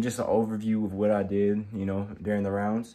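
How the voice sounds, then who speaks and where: A man's fairly low-pitched voice at a moderate pace. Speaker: amateur boxer vlogger. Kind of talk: casual vlog chat. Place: home room. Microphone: phone near.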